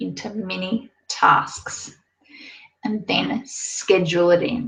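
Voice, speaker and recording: A woman speaks with vocal fry. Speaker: online business coach for cake decorators. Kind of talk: webinar presentation. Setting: live online webinar.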